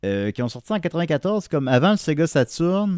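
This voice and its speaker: With a Quebec accent, a man speaks at a fairly slow pace and with lively intonation, captured on a very clean recording with a silent background and a dry, close sound with no echo. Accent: Québécois French. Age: 30s. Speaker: podcaster and vinyl collector. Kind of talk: casual chat.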